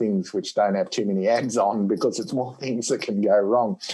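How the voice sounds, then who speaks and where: A man talks at a fairly quick pace with an Australian accent. His intonation stays fairly even. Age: 60s. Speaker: dentistry professor. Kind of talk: podcast interview.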